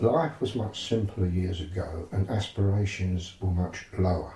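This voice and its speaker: Somewhat breathy and dark, mellow in tone, a man speaks at a fairly slow pace in a fairly low pitch with ordinary pitch variation. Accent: East London. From London East End. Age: 70s. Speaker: psychotherapist. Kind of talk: interview.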